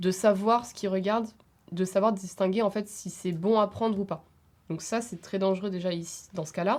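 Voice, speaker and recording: A woman with a plain, everyday voice, medium pitch, fairly even intonation and a moderate pace. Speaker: student. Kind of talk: podcast discussion.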